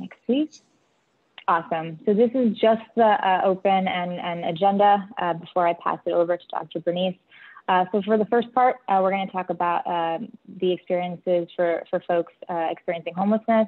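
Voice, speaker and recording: A woman is speaking. Her pitch is medium, with ordinary variation. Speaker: facilitator of virtual learning session. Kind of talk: webinar presentation. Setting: video call. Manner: fast.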